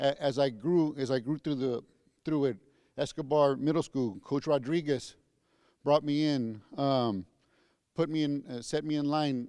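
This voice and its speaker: A man talks at a moderate pace in a fairly high pitch with fairly even intonation against a quiet background. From San Antonio, Texas. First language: Spanish. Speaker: school district police chief. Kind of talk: convocation speech. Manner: halting, many repetitions.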